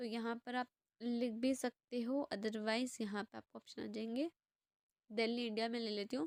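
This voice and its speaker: At a moderate pace, a woman talks in a fairly high pitch with fairly even intonation and a plain, everyday voice, the sound dry and close with no echo. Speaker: youtuber sharing job vacancies. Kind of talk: screen-share tutorial. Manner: casual, conversational.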